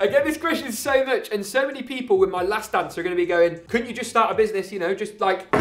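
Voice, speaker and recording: With an English accent, a man talks at a very fast pace with hardly any pauses, high-pitched and in an animated tone. Noticeable background noise runs underneath. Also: ordinary pitch variation. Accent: English accent, slightly exaggerated on video. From England. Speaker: tech YouTuber, PC builder. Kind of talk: casual Q&A.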